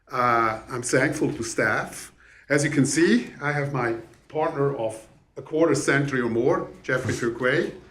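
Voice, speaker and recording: Over audible room echo, a man with a Swiss accent speaks at a fairly slow pace, medium in pitch with fairly even intonation. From Switzerland. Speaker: real estate developer. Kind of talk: public hearing presentation.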